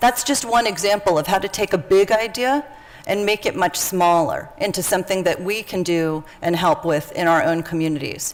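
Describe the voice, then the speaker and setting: Using an unremarkable speaking voice, a woman at medium pitch moves at a fairly quick pace with ordinary pitch variation. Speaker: workshop facilitator. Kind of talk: interactive workshop session.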